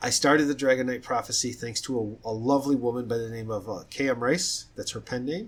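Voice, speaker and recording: The voice moves at a fairly quick pace with hardly any pauses and ordinary pitch variation in a very clean recording with a silent background. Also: man, medium pitch for a man. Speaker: fiction writer. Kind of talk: casual talk about own writing. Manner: fast; halting, with restarts.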